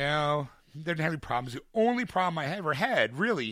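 With a Philadelphia accent, a man speaks in an animated tone at a fairly quick pace. His pitch swings very widely on a very clean recording with a silent background. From US Northeast, Philadelphia.

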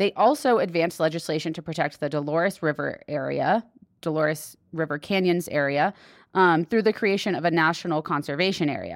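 Speaking with an American accent at a fairly quick pace, a woman has an ordinary speaking voice at a fairly low pitch with ordinary variation. The recording is very clean, with a silent background. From Texas. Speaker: public lands podcast co-host. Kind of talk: casual news roundup chat.

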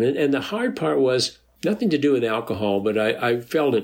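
A man with an Upper Midwest accent speaks fairly quickly. His medium-pitched voice has lively intonation. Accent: Upper Midwest American. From North Dakota. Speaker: recovering alcoholic and AA sponsor. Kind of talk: interview about recovery story. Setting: video call.

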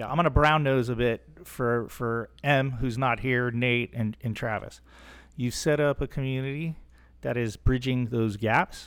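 There is very clean recording here, with a silent background. A man with an ordinary speaking voice talks at a fairly slow pace and medium pitch with fairly even intonation. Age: 40s. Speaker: hunter and conservation advocate. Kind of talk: casual discussion.

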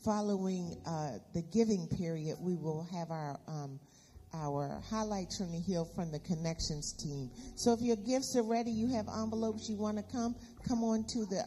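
The voice belongs to a woman and has a dark, mellow tone. It carries a somewhat breathy quality. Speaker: church announcer and prayer leader. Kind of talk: church announcements and prayer. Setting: church.

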